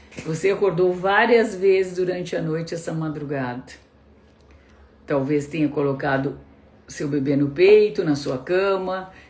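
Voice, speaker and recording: A woman with a southern Brazilian accent speaks at a fairly slow pace and fairly low pitch, with ordinary pitch variation. She leaves long, frequent pauses, and audible room echo surrounds her voice. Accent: gaúcho Brazilian Portuguese. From southern Brazil (Rio Grande do Sul). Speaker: pediatrician. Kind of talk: live-stream talk to parents. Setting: live stream.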